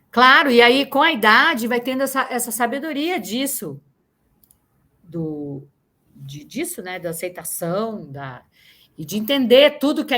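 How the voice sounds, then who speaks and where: A woman's fairly high, bright, sharp voice at a fairly slow pace, with very wide pitch swings and big swings in loudness, on a very clean recording with a silent background. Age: 60s. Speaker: actress. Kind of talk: interview. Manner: halting.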